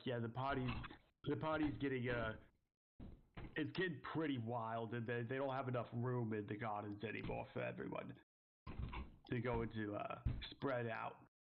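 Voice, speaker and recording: Putting on a raspy character voice, a man of medium pitch speaks at a moderate pace with long, frequent pauses. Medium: actual play.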